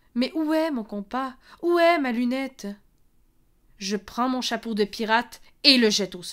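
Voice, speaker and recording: A high, playful female voice at a fairly slow pace, with lively intonation, big swings in loudness and long, frequent pauses on a very clean recording with a silent background. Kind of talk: spoken word poetry, performed. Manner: lyrical, playful and childlike, turning wistful.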